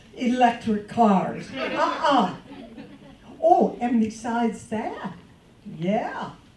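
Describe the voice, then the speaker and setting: Very slowly, a woman speaks at a high pitch, with audible room echo and noticeable background noise. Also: long, frequent pauses. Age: 70s. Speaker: comedian. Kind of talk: stand-up. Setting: stage with audience.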